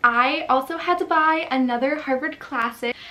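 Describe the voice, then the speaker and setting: A woman's high-pitched, animated voice at a fairly slow pace, with ordinary pitch variation and noticeable background noise. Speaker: book youtuber. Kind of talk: casual chat.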